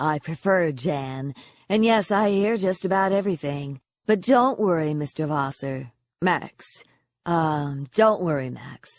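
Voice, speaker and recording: In a put-on character voice, the speaker uses a middle pitch and a hoarse, warm, confident tone at a fairly slow pace, on a very clean recording with a silent background. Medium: read story. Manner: warm, teasing, confident.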